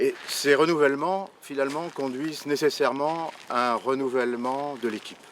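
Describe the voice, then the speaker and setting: A man talks at a medium pitch. Noticeable background noise runs behind him. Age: 60s. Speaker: local election candidate. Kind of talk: campaign presentation. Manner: hesitant, many fillers and repetitions.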